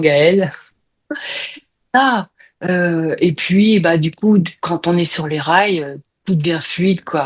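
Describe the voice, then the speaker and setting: Speaking at a very slow pace, a woman has a fairly low pitch and ordinary pitch variation. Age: 60s. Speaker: hypnosis client. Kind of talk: casual chat. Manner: halting.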